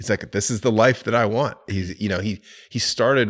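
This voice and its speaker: He is a man with an American accent and an ordinary speaking voice. His pitch is fairly low and his intonation fairly even. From Florida. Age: 40s. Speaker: real estate investor. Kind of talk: casual chat.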